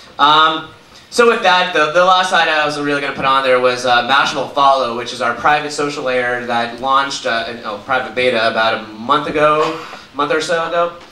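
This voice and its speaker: Noticeable background noise and audible room echo surround a man with an American accent. His fairly high voice moves at a fairly quick pace with ordinary pitch variation. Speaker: conference speaker, media company executive. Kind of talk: conference talk. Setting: stage with audience. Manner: fast.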